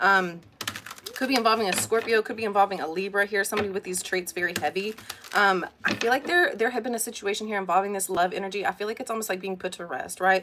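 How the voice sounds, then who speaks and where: The speech runs at a very fast pace with fairly even intonation. Noticeable background noise sits behind it. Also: woman. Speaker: tarot reader. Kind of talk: tarot reading. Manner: hesitant, many fillers.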